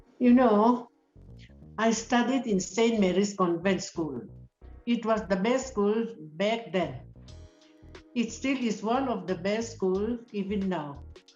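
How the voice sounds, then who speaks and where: Music plays in the background as a woman talks at a fairly high pitch. She goes at a very slow pace with ordinary pitch variation and long, frequent pauses. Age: 80s+. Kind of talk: interview answer. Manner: good-humoured.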